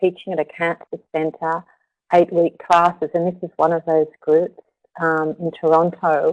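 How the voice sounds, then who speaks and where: An Australian accent comes from a woman with a fairly low pitch, speaking at a moderate pace. The sound is dry and close with no echo. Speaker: yoga therapist and researcher. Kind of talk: webinar presentation. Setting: live webinar.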